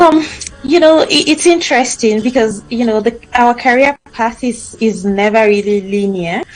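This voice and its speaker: Noticeable background noise sits under a woman's fairly high voice. She talks at a moderate pace with lively intonation. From Nigeria. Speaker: author and immigrant coach. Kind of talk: interview. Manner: halting, many fillers.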